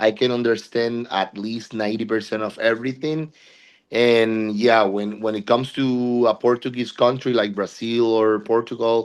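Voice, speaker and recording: Against a quiet background, a man with a Puerto Rican accent speaks at medium pitch and a moderate pace in monotone, flat intonation. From Puerto Rico. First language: Spanish. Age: 40s. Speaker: body piercer. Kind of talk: interview.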